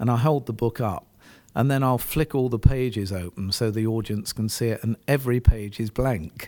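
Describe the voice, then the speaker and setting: Dark, mellow tone at a moderate pace with an English accent, very clean recording and silent background. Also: man, medium pitch for a man, ordinary pitch variation. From England. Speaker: entrepreneur and author. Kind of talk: interview chat and reading from his memoir. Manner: halting with fillers.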